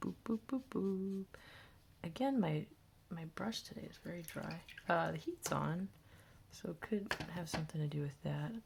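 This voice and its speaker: A woman speaks fairly slowly at a fairly low pitch, somewhat breathy and with ordinary pitch variation. Her loudness swings widely, and her pauses are long and frequent. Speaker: art teacher. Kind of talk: tutorial. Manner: casual thinking aloud.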